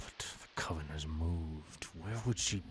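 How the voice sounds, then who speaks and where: A man puts on a character voice with a very deep, low pitch at a moderate pace. Clear background noise is present. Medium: machinima. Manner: arrogant, scheming.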